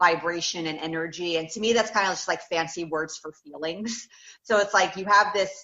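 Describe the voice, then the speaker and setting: This woman has an American accent and a normal speaking voice, pitched fairly low with ordinary variation. Her pace is fairly quick. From United States. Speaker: law of attraction coach. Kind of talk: interview answer.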